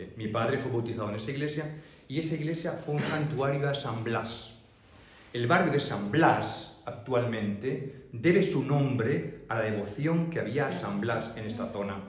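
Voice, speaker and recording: Audible room echo surrounds a man speaking at a fairly slow pace. His pitch is medium, with ordinary pitch variation. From Madrid, Spain. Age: 60s. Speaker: priest giving a local history talk. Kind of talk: public talk Q&A with audience. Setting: public library talk with audience.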